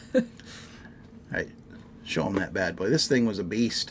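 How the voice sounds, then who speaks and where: The man talks at a moderate pace. Behind him is noticeable background noise. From US Pacific Northwest, Washington State. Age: 50s. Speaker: whiskey livestream host. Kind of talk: casual chat. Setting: livestream. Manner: animated.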